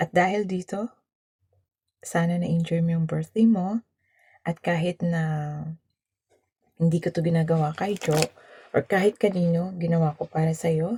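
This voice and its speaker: In a dry, close recording with no echo, a woman with a fairly low, somewhat breathy voice and a dark, mellow tone speaks at a moderate pace with fairly even intonation and long, frequent pauses. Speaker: vlogger. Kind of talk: birthday greeting message.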